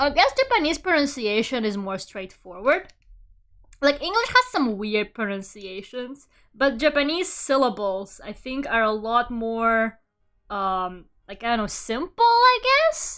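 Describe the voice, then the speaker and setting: In a Russian accent, a woman speaks with a high pitch, a bright, sharp tone and lively intonation. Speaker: vtuber artist streamer. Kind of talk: casual chat while drawing on stream. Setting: live stream. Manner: fast, sometimes blurring words.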